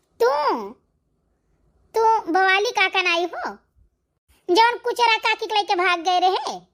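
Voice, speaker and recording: In a cartoonish character voice, a woman squeaks at an extremely high pitch. She goes at a fairly slow pace with long, frequent pauses. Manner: blunt, scolding.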